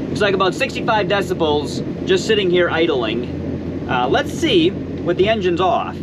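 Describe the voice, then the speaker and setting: Lively in intonation, a man with a high voice talks at a moderate pace and very even loudness, with audible room echo and noticeable background noise. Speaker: boating video creator. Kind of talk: tutorial.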